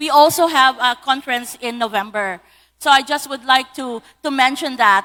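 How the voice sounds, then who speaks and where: Bright and sharp in tone, a woman's raised, projected voice moves with lively intonation. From Philippines, Iloilo (Western Visayas). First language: Hiligaynon (Ilonggo). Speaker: lawyer and digital policy speaker. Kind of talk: conference talk.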